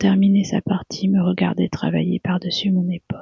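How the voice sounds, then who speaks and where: Someone whispers at a fairly slow pace. The voice is soft-spoken. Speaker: ASMR narrator. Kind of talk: sleep story. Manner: whispered, soft.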